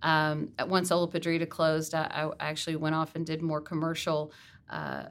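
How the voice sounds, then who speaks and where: Speaking at a moderate pace, the woman has a fairly low pitch. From US South, Texas (Garland area); born in Mississippi. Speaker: museum executive director. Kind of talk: interview, casual chat. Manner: hesitant, many fillers.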